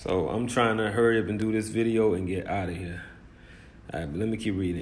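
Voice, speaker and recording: Through audible room echo, a man speaks with a medium pitch and fairly even intonation. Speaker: religious commentator. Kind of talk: bible commentary on news. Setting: hot room. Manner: informal, emphatic; fast.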